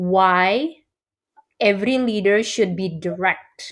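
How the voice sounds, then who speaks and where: Lively intonation at a very slow pace in an Indonesian accent, on a very clean recording with a silent background. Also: woman. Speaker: corporate coach. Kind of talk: interview.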